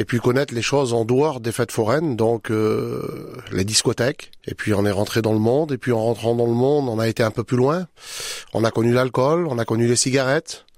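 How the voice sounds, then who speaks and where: This man has a medium pitch and speaks at a moderate pace. The sound is dry and close with no echo, and his loudness stays very even. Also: ordinary pitch variation. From France, traveller community. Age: 40s. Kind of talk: testimony. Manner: halting.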